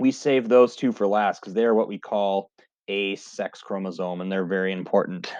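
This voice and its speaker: This man has a plain, everyday voice with a fairly low pitch. His intonation is fairly even and his pace moderate. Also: big swings in loudness. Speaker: high school biology teacher. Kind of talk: recorded lecture video.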